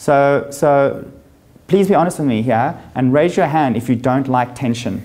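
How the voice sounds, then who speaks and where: A man's dark, mellow tone at a very even loudness. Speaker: life coach / speaker. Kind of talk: motivational talk to live audience. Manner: fast; animated.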